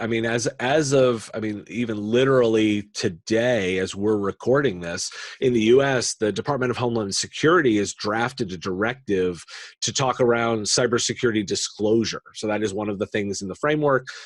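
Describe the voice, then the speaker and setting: A man with an American accent has an unremarkable speaking voice, medium in pitch, with ordinary pitch variation. He talks at a moderate pace in a very clean recording with a silent background. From United States. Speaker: tech podcaster and industry analyst. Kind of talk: podcast interview.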